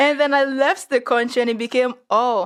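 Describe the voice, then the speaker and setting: Speaking with a Nigerian accent, a woman uses a high pitch and a moderate pace. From Nigeria (Yoruba). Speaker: podcast guest. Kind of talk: casual chat. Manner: animated.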